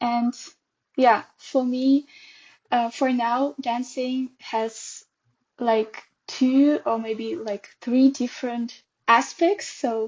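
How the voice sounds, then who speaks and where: Speaking very slowly with long, frequent pauses, a woman with a Russian accent holds a high pitch and fairly even intonation. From Russia, Perm. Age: 20s. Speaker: dance teacher. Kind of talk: casual interview.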